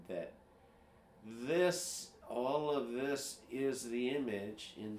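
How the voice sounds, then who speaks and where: A man's relaxed tone with ordinary pitch variation, amid audible room echo and noticeable background noise. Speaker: programmer sharing screen. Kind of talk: casual screen-share tutorial. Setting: screen recording at computer. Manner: slow; relaxed, hesitant with fillers.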